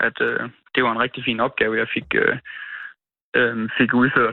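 Very even in loudness, a man talks at a fairly slow pace. He leaves long, frequent pauses. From Denmark, near Hornsyld.

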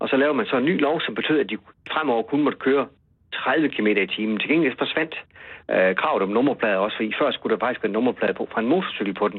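A man with a medium-pitched voice talks at a very fast clip with lively intonation. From West Jutland. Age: 50s. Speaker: journalist and author. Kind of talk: interview. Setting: phone call. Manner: halting, repeats words.

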